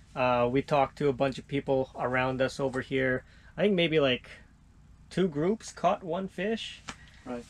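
A man's intonation rises and falls in a lively way. He speaks at a moderate pace. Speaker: fishing vlogger. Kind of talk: casual vlog chat. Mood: cheerful despite no catch. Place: tent. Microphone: phone near.

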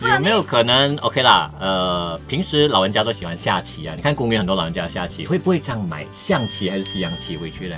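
Over clear music in the background, a man talks at a fairly quick pace with hardly any pauses. His pitch is fairly low and swings very widely. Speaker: radio host. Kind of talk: radio comedy skit. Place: studio. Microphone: studio mic.

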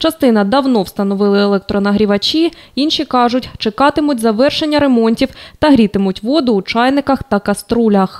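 Lively intonation marks this woman's fairly high-pitched speech, a plain, everyday voice. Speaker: TV news reporter. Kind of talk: news report voiceover.

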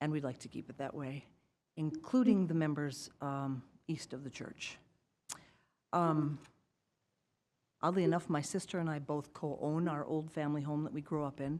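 With an Upper Midwest accent, a woman speaks in a very deep, low pitch with ordinary pitch variation and long, frequent pauses, on a very clean recording with a silent background. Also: moderate pace. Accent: Upper Midwest (Minnesota). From Moorhead, Minnesota. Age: 60s. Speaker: resident speaking at public comment. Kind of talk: public comment at council meeting. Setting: city council meeting.

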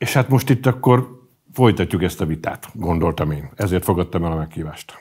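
With a quiet background behind him, a man speaks at a moderate pace, his pitch swinging very widely. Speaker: pro-government media editor; interview guest. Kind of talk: interview. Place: studio.

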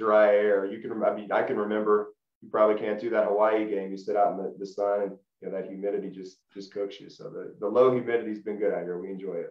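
A man's fairly low, monotone voice in a Tennessee accent at a very fast pace, with flat intonation, a quiet background and audible room echo. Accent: Southern US (Tennessee). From Middle Tennessee (Lebanon). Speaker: former college football player; interview guest. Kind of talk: casual interview. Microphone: video call.

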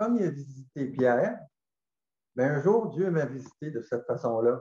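With audible room echo but a quiet background, a man speaks at a moderate pace in a fairly high pitch, his tone dark, mellow and somewhat breathy, his intonation lively. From Gaspésie, Quebec; Quebec. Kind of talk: testimony. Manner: halting. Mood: calm, reflective. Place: home room. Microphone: webcam.

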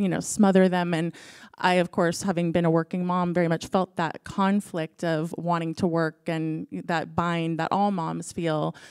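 The background is quiet. A woman with a fairly low pitch speaks at a moderate pace. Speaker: interviewer. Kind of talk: onstage interview. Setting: stage with audience. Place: stage. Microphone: handheld.

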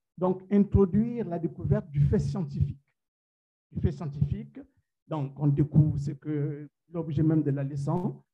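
A man with a Central African accent speaks at a very slow pace in a fairly high pitch, his tone dark and mellow, with ordinary pitch variation and long, frequent pauses against a quiet background. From Gabon. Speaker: science teacher. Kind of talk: conference presentation. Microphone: video call.

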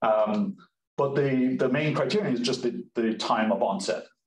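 Audible room echo surrounds the voice. It is a man, talking at a moderate pace. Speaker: presenter. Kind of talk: lecture. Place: office. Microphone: webcam.

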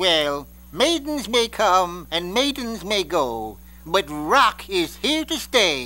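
Very slow pace and middle pitch in a put-on character voice. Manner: breezy, rhyming quips.

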